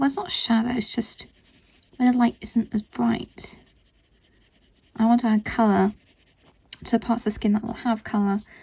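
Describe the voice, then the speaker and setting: A woman with a dark, mellow tone speaks at a moderate pace in a fairly high, monotone, flat voice, with long, frequent pauses. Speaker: art tutorial creator. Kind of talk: tutorial. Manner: distracted, concentrating while speaking.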